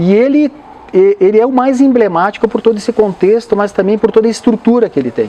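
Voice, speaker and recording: This man's voice sits high in pitch and moves at a fairly quick pace. Noticeable background noise runs behind him. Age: 60s. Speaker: pilgrim and motivational speaker. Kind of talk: interview.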